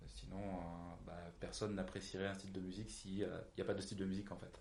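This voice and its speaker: A man speaks at a very fast pace with a very deep, low pitch and vocal fry. His intonation is monotone and flat, and there is audible room echo. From southeastern France, near Marseille. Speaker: punk rock musician. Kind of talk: casual interview.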